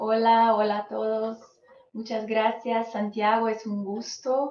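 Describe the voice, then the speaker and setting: A woman at a very slow pace, her intonation monotone and flat. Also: fairly high pitch for a woman. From Brazil. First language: Portuguese (speaking Spanish). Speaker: psychologist. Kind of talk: live webinar talk. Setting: live online stream. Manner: halting, many fillers.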